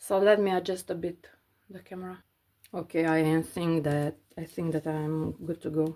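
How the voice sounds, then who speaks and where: A woman with a non-native accent speaks at a moderate pace in a monotone, flat intonation, her fairly low-pitched voice dark and mellow, with big swings in loudness. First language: not English. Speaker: cross-stitch crafter vlogger. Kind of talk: casual tutorial while stitching. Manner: halting, many fillers.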